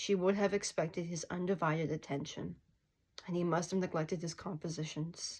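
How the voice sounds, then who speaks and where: Speaking at a fairly quick pace, a woman uses a fairly low, somewhat breathy voice with monotone, flat intonation. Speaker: indie author. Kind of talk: casual talk with reading aloud. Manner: halting.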